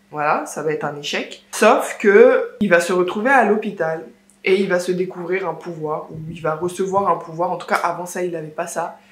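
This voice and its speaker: With audible room echo, a woman talks at a fairly low pitch with fairly even intonation and big swings in loudness. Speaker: book vlogger. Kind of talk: casual vlog book review. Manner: slow; halting.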